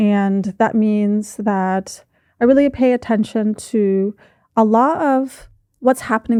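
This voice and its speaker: Her fairly high voice has a dark, mellow tone, and this woman with an American accent speaks with ordinary pitch variation in a dry, close sound with no echo and a quiet background. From United States. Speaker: education lecturer and researcher. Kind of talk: podcast interview.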